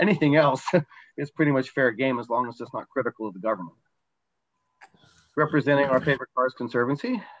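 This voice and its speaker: The recording is dry with no echo and a quiet background. A man talks at a very fast pace with ordinary pitch variation. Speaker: presenter. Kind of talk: slide presentation talk. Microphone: video call.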